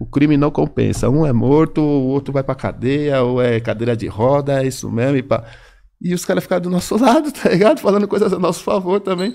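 Fairly quick, lively speech from a man with a fairly high pitch and a dark, mellow tone. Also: very clean recording, silent background. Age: 50s. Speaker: rapper. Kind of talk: casual chat.

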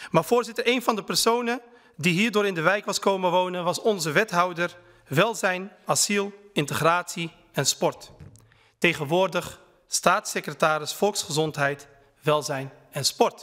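A bright, sharp tone at a fairly slow pace, with ordinary pitch variation and a quiet background. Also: man, high pitch for a man. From Netherlands, Utrecht (Kanaleneiland); Netherlands. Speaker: member of parliament. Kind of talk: parliamentary speech. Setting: parliament chamber. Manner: formal. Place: hall. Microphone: podium.

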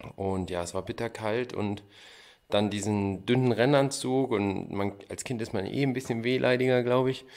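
A man's normal speaking voice, medium in pitch, with fairly even intonation at a moderate pace on a very clean recording with a silent background. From Thuringia, Gotha district. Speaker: luge athlete. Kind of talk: interview.

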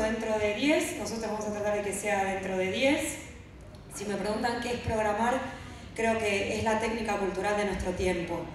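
Strong room echo and light background noise surround a woman speaking at a moderate pace. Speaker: speaker. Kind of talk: conference talk. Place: stage.

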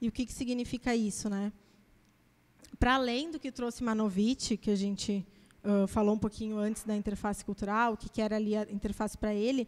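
In an ordinary speaking voice, a woman talks with fairly even intonation at a fairly high pitch. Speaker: academic speaker presenting her master's dissertation; speaker. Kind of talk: academic lecture. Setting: auditorium with audience. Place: classroom. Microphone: handheld.

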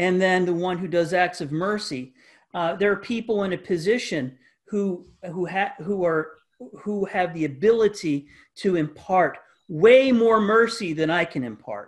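A man speaks at a high pitch and a fairly slow pace. His pitch varies in an ordinary way, with a quiet background. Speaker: pastor. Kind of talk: Bible study lesson. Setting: video call. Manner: halting, many fillers and repetitions. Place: home room. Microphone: webcam.

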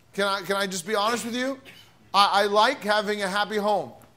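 Raised and projected, a man's bright, sharp voice carries fairly even intonation. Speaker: pastor. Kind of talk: sermon. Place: church. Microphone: podium.

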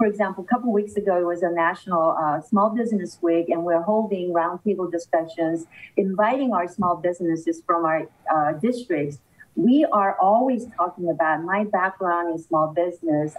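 A woman speaks with very even loudness. Her pitch varies in an ordinary way. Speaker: politician, remote guest. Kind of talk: interview answer. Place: office. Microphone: video call.

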